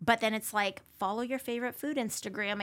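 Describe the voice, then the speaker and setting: Delivered at a moderate pace with ordinary pitch variation and an American accent, this is an ordinary speaking voice on a very clean recording with a silent background. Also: woman. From US Pacific Northwest, Spokane. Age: 30s. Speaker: food influencer. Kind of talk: casual chat.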